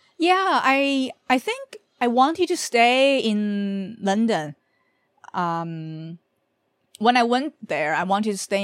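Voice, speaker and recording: Very slow speech in a Chinese accent with very wide pitch swings and a dry, close sound with no echo. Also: woman. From Beijing, China. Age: 30s. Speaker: journalist. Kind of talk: casual interview.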